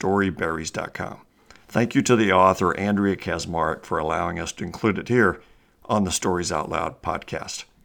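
The passage is read aloud in a natural voice.

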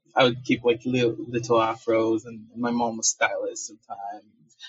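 Somewhat breathy and medium in pitch, a man talks at a fairly slow pace with monotone, flat intonation. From Nigeria (Benin Kingdom region). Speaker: multimedia artist and entrepreneur. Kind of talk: interview. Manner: halting, many fillers and repetitions.

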